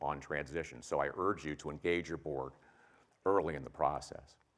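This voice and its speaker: At a fairly quick pace, a man speaks with a Midwestern American accent. His pitch variation is ordinary. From US Midwest, Ohio (Springfield). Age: 60s. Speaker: company executive giving a talk. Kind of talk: keynote talk.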